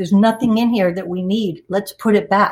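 A woman of medium pitch talks at a moderate pace, sounding somewhat breathy. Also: very clean recording, silent background. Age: 60s. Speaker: storyteller, former stand-up comic. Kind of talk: personal storytelling.

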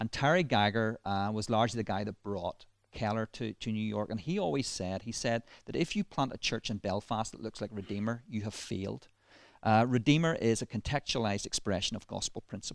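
This man speaks at a fairly quick pace with a slight Northern Irish accent. The sound is dry and close with no echo, and his pitch varies in an ordinary way. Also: fairly low pitch for a man, very clean recording, silent background. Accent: slight Ballymena. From Northern Ireland, Ballymena. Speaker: minister and church planter. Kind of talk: casual interview. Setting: church building.

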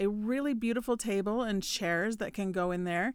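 Speaking at a moderate pace with ordinary pitch variation, a woman has a normal speaking voice. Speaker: baker and podcast co-host. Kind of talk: casual chat.

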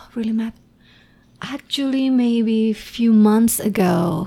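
Speaking at a very slow pace, a woman with a fairly high pitch and a dark, mellow tone uses ordinary pitch variation in an Indonesian accent. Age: 40s. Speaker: former journalist and improv performer. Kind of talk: casual interview.

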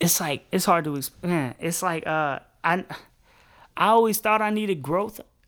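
A man speaks in a high voice at a moderate pace, with ordinary pitch variation. He leaves long, frequent pauses, and the recording is very clean with a silent background. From US Midwest, Chicago south suburbs. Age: 20s. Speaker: rapper. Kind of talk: casual interview chat.

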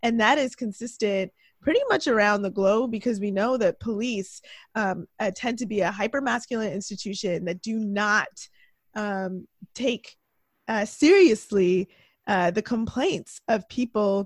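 A woman with a Canadian accent has a plain, everyday voice and ordinary pitch variation, recorded very cleanly with a silent background and a dry, close sound with no echo. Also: fairly high pitch for a woman, fairly slow pace. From Toronto, Canada. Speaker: journalist and political podcaster. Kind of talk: casual chat.

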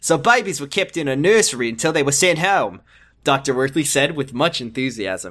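An animated tone with very wide pitch swings at a fairly quick pace, on a very clean recording with a silent background. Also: man, fairly high pitch for a man. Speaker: podcast co-host. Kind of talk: casual comedic banter, reading fiction aloud. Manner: animated, jokey, does character voices.

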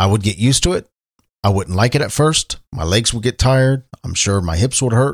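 Somewhat breathy, with a Midwestern American accent and lively intonation, the voice sounds dry and close with no echo. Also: man. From Ohio, Cincinnati. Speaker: podcast host. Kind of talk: solo podcast monologue. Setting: home studio. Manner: deliberately slowed pace; filler words (um, uh).

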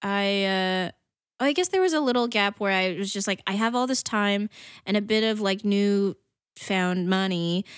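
A woman in a plain, everyday voice speaks at medium pitch and a fairly slow pace with fairly even intonation, the sound dry and close with no echo, in a very clean recording with a silent background. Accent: American. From northern New Jersey. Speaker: comedian and actress. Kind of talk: casual chat.

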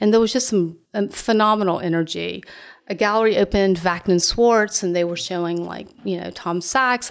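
A woman with a Southern US accent talks at a moderate pace and medium pitch. Her intonation is fairly even, and the recording is very clean with a silent background. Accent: Southern US (Georgia). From US South, Augusta, Georgia. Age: 50s. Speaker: art gallery owner. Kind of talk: interview conversation.

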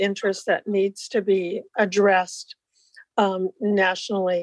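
A woman's medium-pitched voice with an American accent, monotone and flat in intonation, dry and close with no echo. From Iowa. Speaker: board secretary and retired vendor. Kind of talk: meeting business. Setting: video call.

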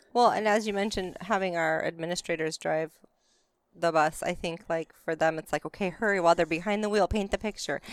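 A woman with an American accent and a fairly low pitch speaks in a plain, everyday voice at a fairly quick pace, with fairly even intonation and a dry, close sound with no echo. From Arizona, rural. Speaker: school transportation administrator. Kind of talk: casual chat. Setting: outdoors.

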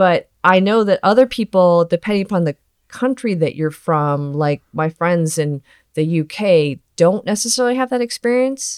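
With an ordinary speaking voice, a woman talks at a medium pitch and moderate pace with lively intonation, on a very clean recording with a silent background and a dry, close sound with no echo. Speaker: toy photographer. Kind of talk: casual interview chat.

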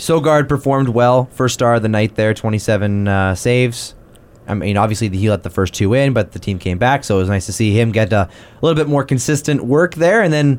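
A man talks at a medium pitch with a plain, everyday voice. His intonation is lively and his pace fairly quick. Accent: Canadian. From Canada. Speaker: sports podcast host. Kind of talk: casual chat.

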